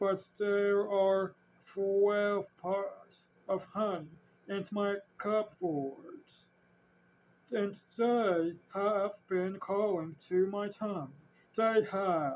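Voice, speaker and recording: In a put-on character voice at a middle pitch, the speaker goes very slowly with long, frequent pauses. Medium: read story. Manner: slow, gentle.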